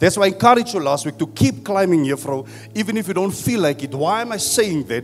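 A man talks very fast in a high voice. His tone is animated, and his pitch swings very widely. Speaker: pastor. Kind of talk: sermon. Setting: church.

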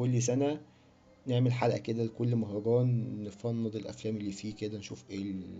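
At a fairly quick pace, a man with an ordinary speaking voice talks at a medium pitch. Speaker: film podcast host. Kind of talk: casual solo monologue. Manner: rambling, chatty. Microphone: cheap bad microphone.

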